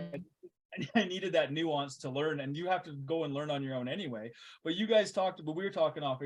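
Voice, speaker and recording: This man has an unremarkable speaking voice. He speaks with a Canadian accent. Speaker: podcast host. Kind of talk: casual conversation.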